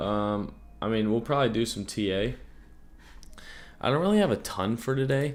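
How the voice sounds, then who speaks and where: A man speaks with a fairly low pitch. His voice shows vocal fry. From Germany and West Africa. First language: German. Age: 20s. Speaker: crypto trading streamer. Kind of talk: casual livestream chat. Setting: livestream. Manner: slow.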